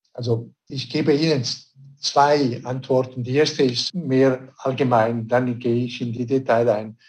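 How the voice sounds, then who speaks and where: A man with a medium pitch and fairly even intonation talks at a fairly slow pace. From Switzerland. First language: not German (speaking German). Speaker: director of a conservation organisation. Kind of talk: radio interview.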